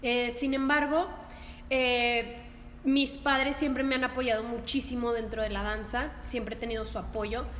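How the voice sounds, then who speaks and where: A woman speaks at a high pitch in a monotone, flat delivery. Noticeable background noise and audible room echo fill the recording. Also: fairly slow pace. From northern Mexico, La Laguna region. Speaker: dance teacher. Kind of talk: casual chat.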